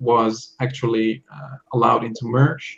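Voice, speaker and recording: This man's somewhat breathy voice sits at a medium pitch. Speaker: software tool creator and online seller. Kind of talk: casual interview. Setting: video call.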